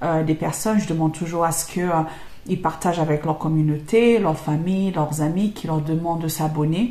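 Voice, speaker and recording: The speaker has a non-native accent and keeps a moderate pace. The intonation stays fairly even. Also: woman. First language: not French (speaking French). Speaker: YouTuber and English trainer. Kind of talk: casual Q&A monologue. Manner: hesitant, many fillers.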